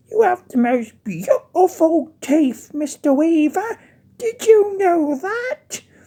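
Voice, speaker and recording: This is a put-on character voice, squeaky and extremely high in pitch. The pace is very slow. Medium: read story. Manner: doting, cooing.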